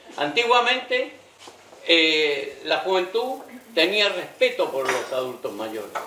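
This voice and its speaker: At a very slow pace, the voice swings very widely in pitch amid noticeable background noise and audible room echo. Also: man, high pitch for a man. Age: 80s+. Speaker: audience member, local resident. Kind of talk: audience comment in Q&A.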